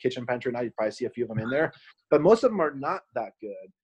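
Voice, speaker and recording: Speaking in a normal speaking voice, a man keeps a medium pitch and shows ordinary pitch variation. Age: 40s. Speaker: food company founder. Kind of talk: casual interview chat.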